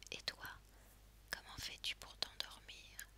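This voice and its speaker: Someone whispers over noticeable background noise. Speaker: ASMR content creator / reader. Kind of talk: sleep story narration with hypnotic slow pacing. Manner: whispered, soft-spoken, slow.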